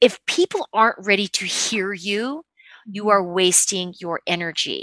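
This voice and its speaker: A woman with an American accent speaks at a medium pitch with ordinary pitch variation and a bright, sharp tone, the sound dry and close with no echo. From Utah. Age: 30s. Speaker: athlete's wife and mother of five. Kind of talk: interview conversation.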